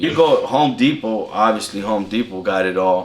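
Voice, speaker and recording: A man with a Californian accent talks at a fairly slow pace amid noticeable background noise. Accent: Californian American English. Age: 30s. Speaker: apprentice lineman. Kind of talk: interview. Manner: casual.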